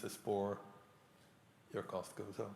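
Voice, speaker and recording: Audible room echo surrounds the voice. It moves at a fairly slow pace. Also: man. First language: not English. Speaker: professor. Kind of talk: lecture Q&A.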